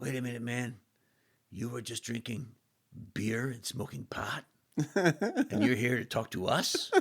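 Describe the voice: A man puts on a character voice at a medium pitch. He speaks at a moderate pace with long, frequent pauses.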